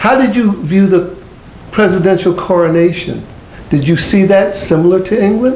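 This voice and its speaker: A man with an American accent at a moderate pace, amid audible room echo and noticeable background noise. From United States. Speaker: TV talk show host. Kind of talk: TV interview.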